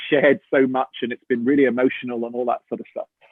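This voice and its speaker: A man talks at a very fast pace. He speaks with an English accent. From England. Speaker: actor. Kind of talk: interview, casual storytelling. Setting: video call. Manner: animated.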